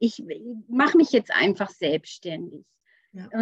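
A woman with a fairly high pitch speaks at a moderate pace in an ordinary speaking voice. The sound is dry and close, with no echo. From rural Germany. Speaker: business coach. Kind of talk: interview.

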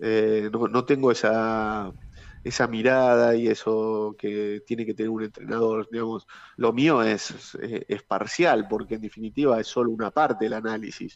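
A man's flat, monotone delivery at medium pitch and a fairly slow pace. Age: 40s. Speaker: former footballer. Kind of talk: interview. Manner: halting, many repeated words.

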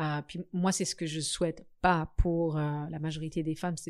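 Intonation remains fairly even throughout. The audio is very clean, and the background is silent. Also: woman. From Africa. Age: 30s. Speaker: guest on a podcast about singlehood. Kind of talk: casual interview conversation.

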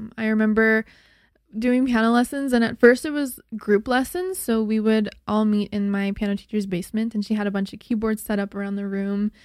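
With a Canadian accent, a woman with an unremarkable speaking voice talks at a fairly quick pace in a fairly high pitch. Her pitch variation is ordinary, and the recording is very clean with a silent background. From Alberta, Canada. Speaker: singer and worship musician. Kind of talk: casual chat.

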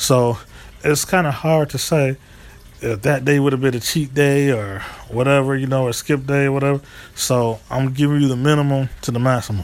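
Against noticeable background noise, a man with an American accent speaks at a moderate pace and medium pitch. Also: fairly even intonation. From US East Coast / Midwest. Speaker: vlogger. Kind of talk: casual monologue storytelling.

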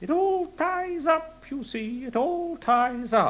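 In a put-on character voice, a man speaks at an extremely high pitch and a very slow pace.

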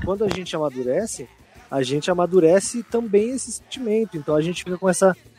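Over noticeable background noise, a man talks at a very fast pace in a high pitch with lively intonation. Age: 20s. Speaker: podcast co-host. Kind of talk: casual chat.

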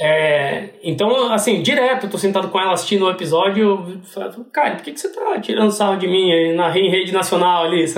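Amid noticeable background noise and audible room echo, a high-pitched man speaks at a fairly quick pace. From Brazil, interior of São Paulo state (Piracicaba). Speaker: TV screenwriter. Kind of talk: casual interview.

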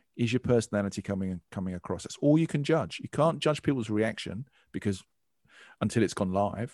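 A normal speaking voice from a man, fairly low-pitched, with lively intonation and a fairly quick pace, dry and close with no echo, on a very clean recording with a silent background. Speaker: business consultant and podcast host. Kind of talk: interview.

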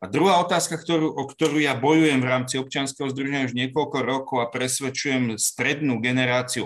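A man speaks in a plain, everyday voice at medium pitch. He talks fairly quickly with fairly even intonation. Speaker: court expert on digital evidence. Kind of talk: panel discussion.

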